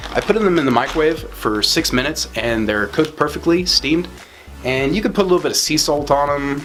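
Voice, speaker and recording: Music plays behind a man with a fairly high-pitched voice. He talks at a fairly quick pace with lively intonation. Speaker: lifestyle vlogger. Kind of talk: casual grocery haul vlog. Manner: fast; animated.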